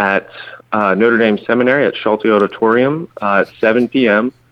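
Keeping his intonation fairly even, a man speaks at a very slow pace. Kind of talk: radio interview.

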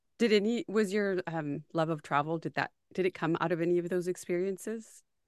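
In an American accent and an unremarkable speaking voice, a woman with a fairly low pitch and ordinary pitch variation talks at a fairly quick pace, the sound dry and close with no echo against a quiet background. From US-Mexico border region. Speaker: podcast host. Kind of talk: casual interview.

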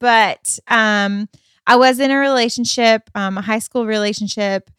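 A woman with an American accent, fairly slow and fairly even in intonation, on a very clean recording with a silent background and a dry, close sound with no echo. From US Midwest, Michigan. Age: 30s. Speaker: host's wife, co-founder of arts ministry. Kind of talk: casual chat. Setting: at home on the couch.

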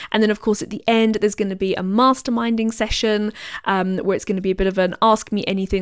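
Very fast and at medium pitch, a woman in a British accent speaks with fairly even intonation, recorded very cleanly against a silent background. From Britain. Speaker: business coach podcast host. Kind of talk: solo podcast monologue.

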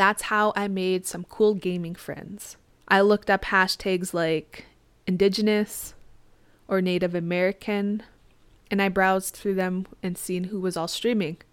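A woman talks at a fairly slow pace. Her intonation stays monotone and flat. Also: medium pitch for a woman. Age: 20s. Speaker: podcast host and Twitch streamer. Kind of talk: casual solo podcast monologue. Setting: home office with microphone.

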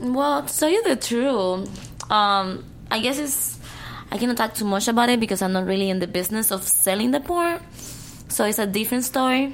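With a Cuban accent, a woman speaks at a fairly quick pace in a fairly high-pitched voice and lively intonation. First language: Spanish. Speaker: adult film actress. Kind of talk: casual chat. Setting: studio.

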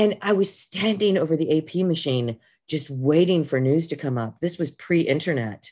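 With an American accent and a dark, mellow tone, the speaker talks at a moderate pace with lively intonation over a quiet background. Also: woman, very deep, low pitch for a woman. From US Midwest. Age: 50s. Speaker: college professor and department chair. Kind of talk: casual interview chat.

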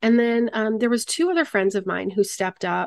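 A plain, everyday voice from a woman with an American accent, fairly quick, with ordinary pitch variation over a quiet background. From Michigan, US Midwest. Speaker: charity founder and freelance producer. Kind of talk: interview conversation.

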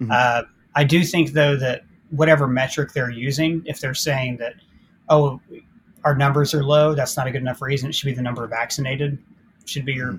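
A somewhat breathy man with an American accent and a fairly high pitch talks at a fairly quick pace with fairly even intonation. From Ohio. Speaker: YouTube film critic. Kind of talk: casual chat.

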